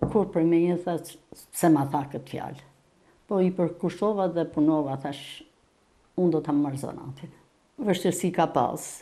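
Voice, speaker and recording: A woman talks with a dark, mellow tone and a fairly low pitch. Her pitch varies in an ordinary way. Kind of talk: interview answer. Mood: reflective, calm. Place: home room.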